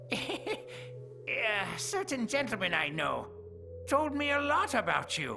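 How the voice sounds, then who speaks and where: Loud background music plays as a man does a cartoonish character voice at a fairly slow pace. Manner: sly, chuckling.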